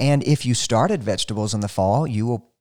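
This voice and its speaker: Speaking in a Southern US accent, a man has a fairly low pitch, lively intonation and a moderate pace. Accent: Southern US (Georgia). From US South. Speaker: radio gardening show host. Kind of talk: radio call-in style Q&A, casual talk.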